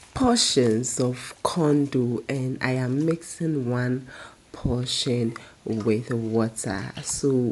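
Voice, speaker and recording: A woman with a very deep, low pitch speaks at a very slow pace against noticeable background noise. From Ghana (Dangme, Ada/Krobo). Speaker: food vlogger. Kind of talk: cooking tutorial. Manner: casual, chatty.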